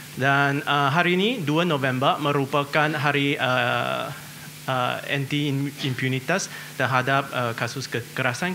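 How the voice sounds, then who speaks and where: A man with a non-native accent speaks fairly slowly in a fairly high voice with fairly even intonation, amid noticeable background noise and audible room echo. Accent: non-native Indonesian. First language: not Indonesian (speaking Indonesian). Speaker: international organization adviser. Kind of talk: seminar presentation. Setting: seminar hall with audience. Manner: hesitant, frequent 'eh' fillers.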